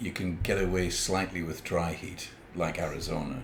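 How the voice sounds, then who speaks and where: A man with a very deep, low voice speaks at a fairly quick pace with ordinary pitch variation, and audible room echo can be heard. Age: 70s. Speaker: podcast co-host. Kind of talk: casual chat.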